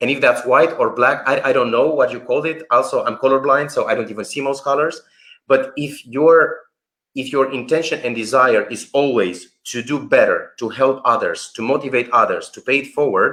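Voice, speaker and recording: A man with a non-native accent at a moderate pace. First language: not English. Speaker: workshop founder and researcher. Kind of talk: live stream interview. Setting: online live stream. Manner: animated.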